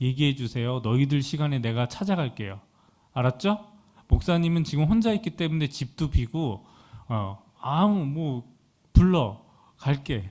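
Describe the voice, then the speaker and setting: A man speaks at a fairly high pitch with very wide pitch swings and a dark, mellow tone. His pace is fairly slow, broken by long, frequent pauses. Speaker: youth pastor. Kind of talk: sermon with announcements.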